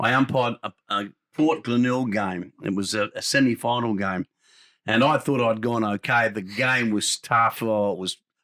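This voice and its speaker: A man with an Australian accent speaks at medium pitch and a moderate pace, with ordinary pitch variation and a bright, sharp tone. The sound is dry and close with no echo, in a very clean recording with a silent background. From Adelaide, South Australia. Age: 80s+. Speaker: former football umpire and sports radio host. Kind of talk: interview.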